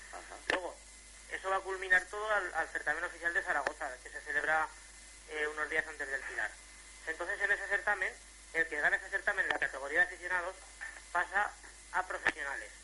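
A man speaks at a very fast pace, with long, frequent pauses. Noticeable background noise runs underneath. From Jérica, Valencian region bordering Teruel, Spain. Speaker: jota folk singer. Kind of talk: radio interview.

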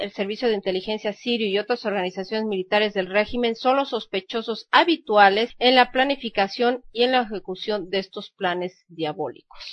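A woman with a plain, everyday voice speaks at a moderate pace with hardly any pauses. Her pitch is fairly high and varies in an ordinary way. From Mexico. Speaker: news radio host. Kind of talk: news reading.

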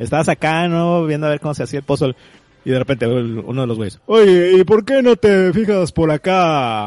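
In a Mexican accent, a man speaks at a moderate pace with a fairly high pitch and very wide pitch swings, the sound dry and close with no echo. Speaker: video game music podcast co-host. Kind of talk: casual chat.

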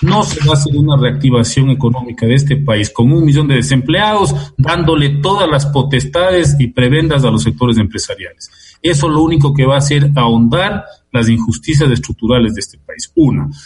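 Hardly pausing at all, a man with a plain, everyday voice and a fairly high pitch talks at a fairly quick pace with ordinary pitch variation. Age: 60s. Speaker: sociologist and political analyst. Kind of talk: radio interview. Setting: remote call from home.

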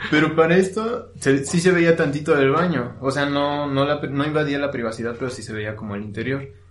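A man with a fairly high voice talks at a fairly quick pace with hardly any pauses, ordinary pitch variation and big swings in loudness, in a room with audible echo. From Mexico, Hidalgo (Actopan). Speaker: podcaster. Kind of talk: casual chat. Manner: halting.

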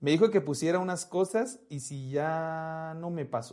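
Over a quiet background, a man with a fairly high pitch talks at a fairly slow pace in a plain, everyday voice with ordinary pitch variation. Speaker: podcast host. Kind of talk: casual chat. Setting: live stream with chat.

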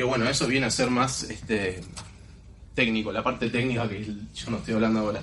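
Amid noticeable background noise and audible room echo, a man speaks at a fairly quick pace with medium pitch and fairly even intonation. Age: 20s. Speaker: network marketing distributor. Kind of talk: motivational talk.

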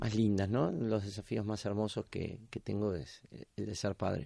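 A man's voice over a quiet background. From Argentina, La Plata. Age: 50s. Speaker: rugby coach and PE teacher. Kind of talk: interview.

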